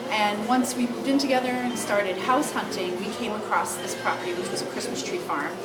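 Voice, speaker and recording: Over noticeable background noise, a woman talks at a fairly quick pace in a fairly high pitch with lively intonation and hardly any pauses. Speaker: Christmas tree farm owner. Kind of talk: interview answer.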